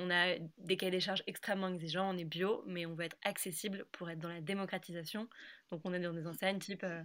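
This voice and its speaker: The speech moves at a fairly quick pace in a monotone, flat intonation. The recording is very clean, with a silent background. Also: woman. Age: 20s. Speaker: food brand co-founder. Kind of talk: interview.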